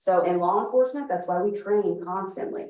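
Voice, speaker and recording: A woman at a very fast pace, medium in pitch, with lively intonation. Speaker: police chief. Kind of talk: community presentation. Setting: room with live audience.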